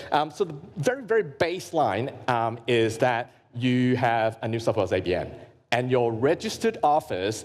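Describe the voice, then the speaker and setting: A man's medium-pitched voice with an Australian accent and lively intonation. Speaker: grant consultant and workshop presenter. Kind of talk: workshop presentation. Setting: live workshop with audience. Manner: fast; halting with many fillers and repetitions.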